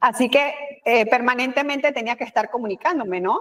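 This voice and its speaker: Here a woman with a Panamanian accent speaks at a moderate pace. Her voice is high, with ordinary pitch variation. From Panama, Colón. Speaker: communication expert, former news anchor and official. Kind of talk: interview.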